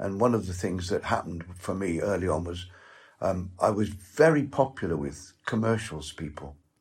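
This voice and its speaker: In a very clean recording with a silent background, a man with a very deep, low, somewhat breathy voice speaks at a moderate pace with lively intonation. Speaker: actor. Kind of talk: interview. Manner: halting.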